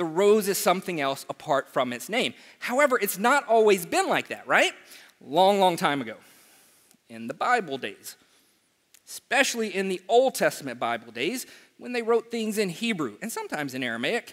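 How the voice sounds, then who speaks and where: A man's moderately paced words come through with a quiet background. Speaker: preacher. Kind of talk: sermon. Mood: humorous, animated. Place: church.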